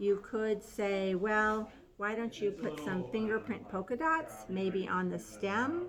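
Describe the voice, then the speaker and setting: A woman talks at a fairly slow pace and a medium pitch, with ordinary pitch variation and an ordinary speaking voice. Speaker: pottery painting instructor. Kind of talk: tutorial.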